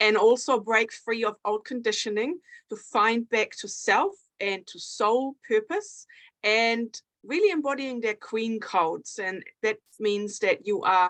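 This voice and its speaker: In a German accent, a woman with a fairly high pitch speaks at a fairly slow pace with big swings in loudness, recorded dry and close with no echo over a quiet background. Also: ordinary pitch variation. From Germany. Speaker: author and women's coach. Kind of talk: interview. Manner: hesitant with filler words.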